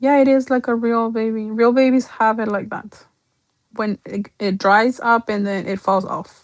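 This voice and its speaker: A woman with a Spanish accent, fairly high-pitched, with fairly even intonation at a moderate pace. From Mexico. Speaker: doll artist. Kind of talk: livestream sales showcase. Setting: livestream. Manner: casual, chatty.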